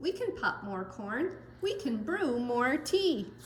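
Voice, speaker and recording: A put-on character voice with a high pitch moves through very wide pitch swings at a fairly slow pace. Background noise is clearly heard. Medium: read story.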